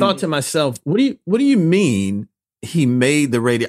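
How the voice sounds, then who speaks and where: Very wide pitch swings in a dry, close sound with no echo. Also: man. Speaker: interviewer. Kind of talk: casual interview chat.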